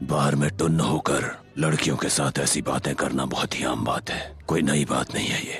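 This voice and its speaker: A man in a put-on character voice at a moderate pace, with clear music in the background. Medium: fan dub. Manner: cold, blunt.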